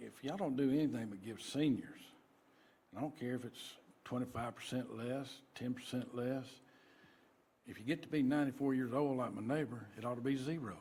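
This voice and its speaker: A man with a Georgia accent speaks at a fairly quick pace in a medium-pitched voice with a dark, mellow tone, ordinary pitch variation, and long, frequent pauses. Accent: Southern US, Georgia. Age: 60s. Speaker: citizen speaking at public hearing. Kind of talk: public comment at board hearing. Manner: casual.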